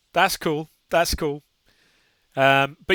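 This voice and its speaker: A man talks at a fairly slow pace in a fairly high, bright, sharp tone. His intonation is monotone and flat, and the sound is dry and close with no echo. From southern England, near London. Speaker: gaming streamer. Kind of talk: live stream commentary. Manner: casual, hesitant with many fillers.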